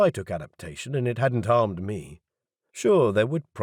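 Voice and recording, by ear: Over a quiet background, someone is reading aloud in a natural voice with lively intonation.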